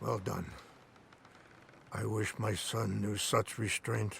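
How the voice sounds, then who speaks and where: A man puts on a raspy character voice, speaking at a fairly slow pace in a medium pitch. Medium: video game. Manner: slow, dignified.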